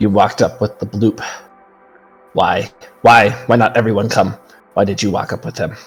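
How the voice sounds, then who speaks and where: A man puts on a gruff, growling character voice at medium pitch and a moderate pace, with long, frequent pauses and faint music in the background. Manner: accusatory, questioning.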